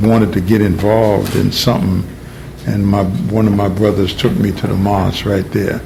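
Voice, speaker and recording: A fairly low-pitched man at a moderate pace, fairly even in intonation, with audible room echo and noticeable background noise. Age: 70s. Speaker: religious community elder. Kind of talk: oral history interview.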